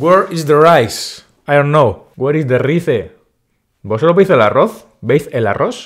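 A man speaks at a medium pitch. His intonation is lively.

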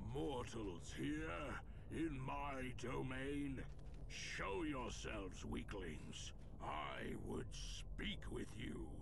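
A man booms out in a put-on character voice at a very slow pace. Loud background noise runs underneath. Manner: menacing, domineering.

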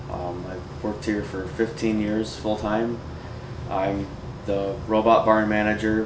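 Through noticeable background noise, a man with a fairly low pitch talks at a moderate pace. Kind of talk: interview answer. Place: office.

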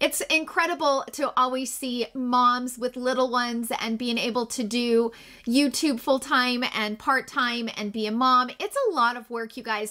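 A woman's high, bright, sharp voice, upbeat and animated, over a quiet background. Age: 40s. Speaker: beauty YouTuber; beauty vlogger. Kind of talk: casual vlog talk to camera.

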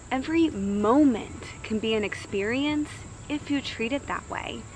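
A woman speaks at a very slow pace with ordinary pitch variation. The sound is dry with no echo, and there is light background noise. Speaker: wellness vlogger. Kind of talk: casual motivational vlog talk. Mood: calm, warm. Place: garden.

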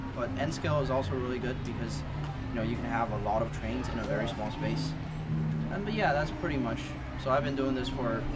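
Music in the background behind a man. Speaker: interviewee. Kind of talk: interview answer. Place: street.

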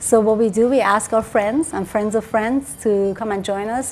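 At a moderate pace, a woman with a Persian accent speaks at a fairly high pitch over light background noise. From Iran. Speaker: dentist; interviewee. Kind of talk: TV interview. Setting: at her home. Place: home room. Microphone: lapel.

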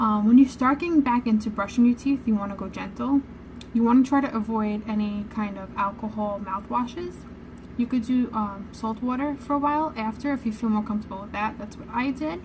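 A woman's fairly quick speech with ordinary pitch variation and big swings in loudness, set against noticeable background noise. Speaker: vlogger. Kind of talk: casual vlog chat. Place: home room. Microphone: phone near.

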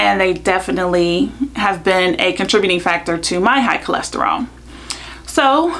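A woman speaks at a moderate pace. Her pitch rises and falls very widely. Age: 30s. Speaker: YouTuber and lawyer; YouTuber, lawyer. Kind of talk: vlog explainer. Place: home room.

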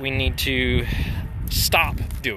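A man's voice, dry with no echo, against noticeable background noise. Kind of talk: casual vlog chat. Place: farm machine. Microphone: phone near.

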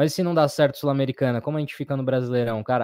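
The man's voice is fairly high with a dark, mellow tone. His pitch varies in an ordinary way, and the sound is dry and close with no echo. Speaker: football fan channel co-host. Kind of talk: casual live-stream chat.

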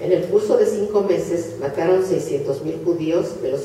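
Light background noise and audible room echo surround the recording. A woman speaks at a fairly slow pace. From Hungary (Budapest). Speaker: Holocaust survivor speaker. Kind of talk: lecture. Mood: solemn, grave. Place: hall. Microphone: camera far.

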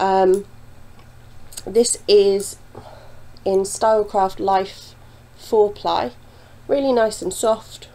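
With a British accent, a dark, mellow voice moves at a very slow pace with long, frequent pauses and ordinary pitch variation. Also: woman, medium pitch for a woman. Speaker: knitting podcaster. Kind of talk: casual talk to camera.

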